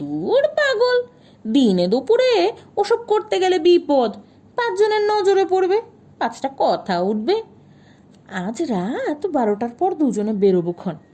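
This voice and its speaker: Using a put-on character voice, a woman speaks at a high pitch with very wide pitch swings and a very slow pace. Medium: read story. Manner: unflappable, terse, folksy.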